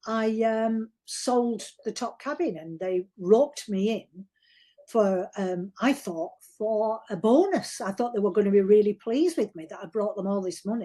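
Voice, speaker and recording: The speaker has a Yorkshire accent and a dark, mellow tone, with ordinary pitch variation. The pace is fairly slow, and the loudness swings widely. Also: woman, fairly high pitch for a woman. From Yorkshire, northern England. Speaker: novelist. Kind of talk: interview. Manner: informal, hesitant with repetitions.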